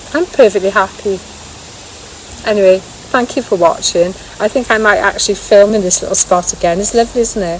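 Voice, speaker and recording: This woman talks at a fairly quick pace with a medium pitch and ordinary pitch variation. Noticeable background noise is present. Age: 60s. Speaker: vlogger. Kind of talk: casual vlog monologue. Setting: outdoors in woods.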